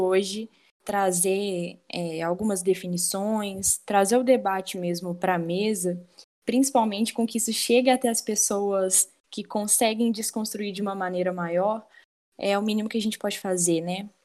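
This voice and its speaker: A woman with a medium pitch and a dark, mellow tone speaks at a moderate pace with fairly even intonation. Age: 20s. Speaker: law student and feminist activist, guest host. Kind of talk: casual discussion.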